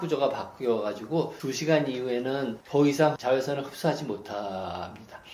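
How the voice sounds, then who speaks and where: Moderate-paced speech from a man with ordinary pitch variation and noticeable background noise. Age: 60s. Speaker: retired dermatology professor. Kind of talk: interview explanation. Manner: frequent filler hesitations.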